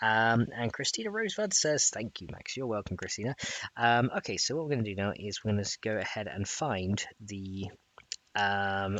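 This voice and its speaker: Speaking quietly, a man keeps a fairly quick pace. His pitch is fairly low, with ordinary variation. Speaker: gaming streamer teaching modding. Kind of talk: live-streamed coding tutorial. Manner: talking quietly.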